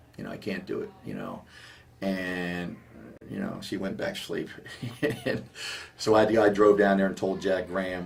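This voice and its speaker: There is audible room echo around this man's voice. He has an American accent and speaks at a moderate pace. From Maryland, US (Silver Spring area). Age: 50s. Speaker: high school basketball coach. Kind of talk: interview. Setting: coach's office. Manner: animated, many fillers.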